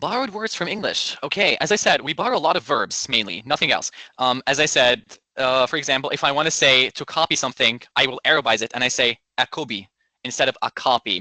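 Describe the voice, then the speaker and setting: A man's fairly high, bright, sharp voice with lively intonation at a very fast pace, dry and close with no echo, against a quiet background. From Egypt. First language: Arabic. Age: 20s. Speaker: medical student interviewee. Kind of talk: interview answers.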